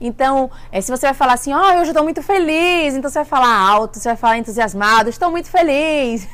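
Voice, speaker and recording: The speaker's pitch swings very widely at a very fast pace. Background noise is noticeable. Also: woman. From Bahia, Brazil. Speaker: vlogger. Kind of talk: casual vlog talk. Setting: at an event in California.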